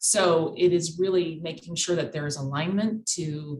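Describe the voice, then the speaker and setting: A woman speaks with an American accent. Her voice is somewhat breathy. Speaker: cyber insurance expert. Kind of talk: podcast interview.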